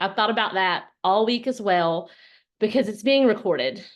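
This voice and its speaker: A woman with a Southern US accent over a quiet background. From US South, Alabama. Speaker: network marketing business leader. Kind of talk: motivational talk on a group call. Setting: group call.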